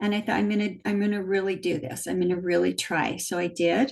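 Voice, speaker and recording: Her voice is somewhat breathy. This woman talks at a medium pitch. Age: 60s. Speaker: weight loss client. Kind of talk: interview testimony. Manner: hesitant, many fillers.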